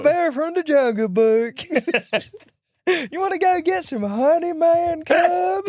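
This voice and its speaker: A put-on character voice, high in pitch, drawls at a very slow pace with hardly any pauses. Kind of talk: casual, slangy. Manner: relaxed, easygoing, friendly.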